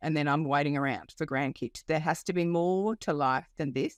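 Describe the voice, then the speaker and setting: In an Australian accent, a woman talks at a moderate pace with ordinary pitch variation, the sound dry and close with no echo on a very clean recording with a silent background. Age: 50s. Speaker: life coach. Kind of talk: podcast interview. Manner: hesitant with many fillers.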